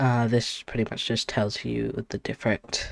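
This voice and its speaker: A man is whispering. The sound is dry and close, with no echo. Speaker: tabletop game designer and content creator. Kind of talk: tutorial. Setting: home with people in the other room. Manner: halting with fillers; quiet.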